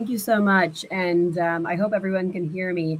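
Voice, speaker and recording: An American accent at a moderate pace. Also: woman. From Texas, US. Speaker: lawyer, panel moderator. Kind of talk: panel discussion. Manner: hesitant, many fillers.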